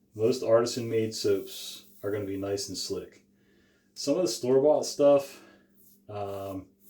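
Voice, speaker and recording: A man mumbles quietly in a somewhat breathy, dark, mellow voice at medium pitch. He talks fairly slowly with ordinary pitch variation. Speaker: shaving channel host. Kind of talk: casual tutorial. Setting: small room, talking to camera.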